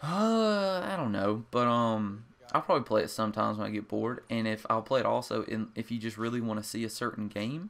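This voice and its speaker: With an American accent, a man talks at a fairly quick pace with hardly any pauses, medium pitch and ordinary pitch variation, on a very clean recording with a silent background. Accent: rural small-town. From rural US, small town. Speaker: gaming commentator. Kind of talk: gameplay commentary. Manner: casual, hesitant with many fillers.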